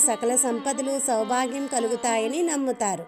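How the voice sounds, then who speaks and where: A woman speaks in a high pitch with a calm tone. Music plays in the background. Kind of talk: devotional story narration in Telugu. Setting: voice-over with background music. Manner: calm, devotional.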